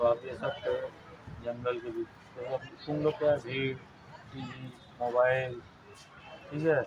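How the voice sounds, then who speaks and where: There is noticeable background noise as a man talks at a medium pitch. His intonation is fairly even, and he takes long, frequent pauses. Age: 60s. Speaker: retiring school principal. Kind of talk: farewell speech to students.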